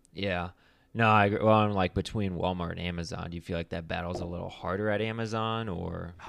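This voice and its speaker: A man's very deep, low voice at a very fast pace. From Akron, Ohio, US Midwest. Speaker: podcast host. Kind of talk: casual interview.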